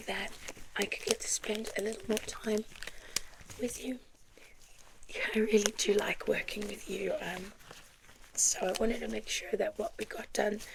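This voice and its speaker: A soft-spoken woman talks at a fairly slow pace over noticeable background noise. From South Africa. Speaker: ASMR performer. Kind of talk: ASMR roleplay as optometrist.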